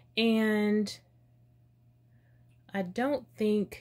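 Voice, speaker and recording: The speaker is a woman. Her pitch is fairly high. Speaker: beauty youtuber. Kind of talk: casual chat. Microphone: phone near.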